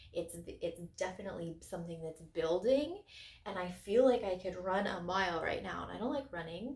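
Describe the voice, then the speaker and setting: A woman's somewhat breathy voice at a moderate pace. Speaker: crystal channel host. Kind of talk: casual video monologue.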